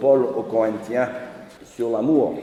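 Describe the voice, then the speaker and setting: Against noticeable background noise and audible room echo, a man in an American accent speaks very slowly at a medium pitch. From United States. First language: English (speaking French). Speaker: preacher. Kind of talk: sermon.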